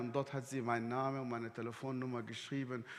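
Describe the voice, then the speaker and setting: In a room with audible echo, a man talks with an Arabic accent. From Sudan. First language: Arabic (speaking German). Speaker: guest preacher. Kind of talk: sermon. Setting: church service livestream.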